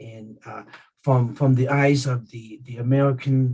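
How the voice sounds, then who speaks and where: A man with a medium pitch speaks at a fairly slow pace in a somewhat breathy voice. His intonation is monotone and flat. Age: 50s. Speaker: keynote speaker, real estate agent. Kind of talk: speech at a virtual community event. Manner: halting, many repetitions and fillers.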